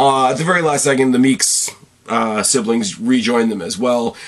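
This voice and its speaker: A man of medium pitch with lively intonation, over noticeable background noise. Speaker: movie review podcaster. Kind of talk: solo movie review. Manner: fast, rambling.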